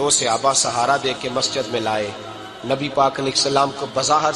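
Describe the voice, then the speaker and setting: A man talks in a fairly high pitch with fairly even intonation. Noticeable background noise sits behind him. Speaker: Islamic preacher. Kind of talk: religious sermon.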